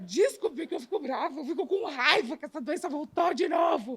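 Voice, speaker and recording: Her pitch is extremely high, with lively intonation. This woman speaks at a moderate pace. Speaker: cancer patient. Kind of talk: testimony.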